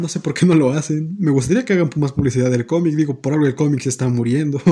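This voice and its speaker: A man with a Mexican accent, dark, mellow tone and ordinary pitch variation. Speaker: podcast host. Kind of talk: casual chat.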